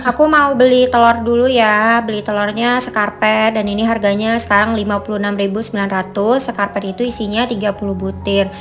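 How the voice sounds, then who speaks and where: A woman's fairly high voice at a very fast pace, with hardly any pauses, fairly even intonation, and noticeable background noise. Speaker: vlogger, housewife. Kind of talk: casual vlog narration. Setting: at home, then supermarket. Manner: chatty, friendly.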